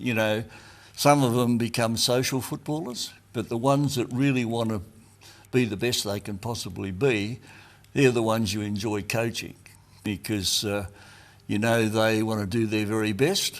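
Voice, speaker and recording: In a very clean recording with a silent background, a man talks with an Australian accent. His medium-pitched voice moves at a moderate pace with fairly even intonation. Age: 80s+. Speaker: retired football player and coach. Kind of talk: interview reminiscence.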